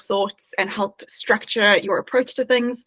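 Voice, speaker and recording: Speaking at a fairly quick pace, a woman with a South African accent has a fairly high pitch, heard in a dry, close sound with no echo. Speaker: agile coach. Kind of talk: interview.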